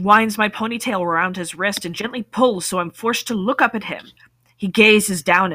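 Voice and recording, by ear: The pitch moves with ordinary variation. Someone reads aloud in a natural voice.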